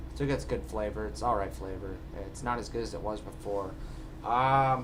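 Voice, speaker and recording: A man at a moderate pace, with audible room echo. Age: 20s. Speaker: vlogger. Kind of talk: casual vlog. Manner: halting, filler-heavy.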